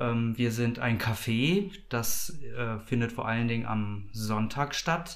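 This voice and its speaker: Medium-pitched male speech with ordinary variation in pitch. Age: 40s. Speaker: project coordinator of a queer community café. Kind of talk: interview. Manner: hesitant, many filler sounds.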